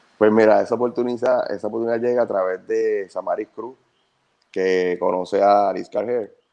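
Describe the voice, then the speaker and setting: At a moderate pace, a man speaks at medium pitch in a dark, mellow tone with fairly even intonation. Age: 30s. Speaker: actor. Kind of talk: casual interview.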